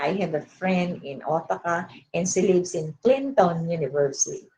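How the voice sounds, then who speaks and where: A woman's medium-pitched, somewhat breathy voice with lively intonation, in a strong Filipino accent. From Philippines. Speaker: education professor. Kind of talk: webinar lecture. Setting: online webinar. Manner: halting, many fillers.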